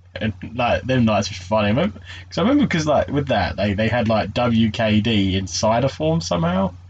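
A man's somewhat breathy, fairly low voice at a moderate pace, with very even loudness and ordinary pitch variation. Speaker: podcast host. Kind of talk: casual chat.

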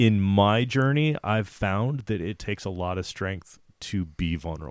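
At a moderate pace, a man speaks in a normal speaking voice with a fairly low pitch and lively intonation. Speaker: podcast host. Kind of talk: casual interview chat.

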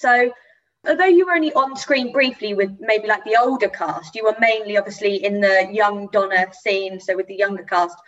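A normal speaking voice moves at a moderate pace. The pitch varies in an ordinary way. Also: woman, medium pitch for a woman. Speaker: podcast host. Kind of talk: interview conversation.

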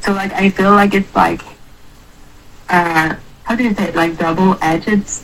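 Noticeable background noise sits behind a woman speaking at a moderate pace with a medium pitch. Her intonation is fairly even, and she leaves long, frequent pauses. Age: 20s. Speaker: young person recovering from addiction. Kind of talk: casual interview. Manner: hesitant, many fillers.

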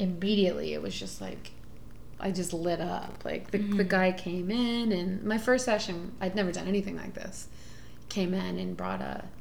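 A woman with an American accent talks at a moderate pace. There is audible room echo and noticeable background noise. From Houston, Texas. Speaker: sex worker and musician. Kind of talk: casual chat.

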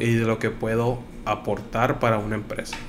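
A man speaks at a medium pitch in a flat monotone, with noticeable background noise and audible room echo. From Nuevo Laredo, Mexico. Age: 30s. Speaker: logistics worker. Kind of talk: casual chat.

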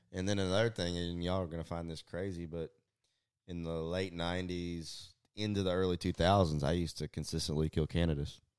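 On a very clean recording with a silent background, a man with a Southeast Texas accent talks at a fairly quick pace in a very deep, low pitch with monotone, flat intonation. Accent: Southeast Texas Southern US. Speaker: fishing pro staffer and hunter. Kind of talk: casual chat. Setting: home, over dinner and whiskey.

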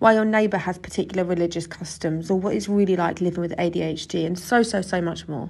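Someone speaks at a very fast pace in a southern English accent. The pitch varies in an ordinary way, and the background is quiet. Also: woman. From England, Suffolk. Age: 20s. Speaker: podcast host, youth tutor. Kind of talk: scripted podcast introduction.

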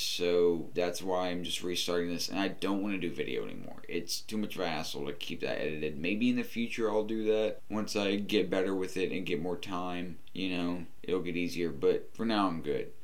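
Through noticeable background noise, a man with a very deep, low pitch speaks with ordinary pitch variation and hardly any pauses. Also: moderate pace. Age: 20s. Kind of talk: casual solo monologue. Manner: halting, many fillers.

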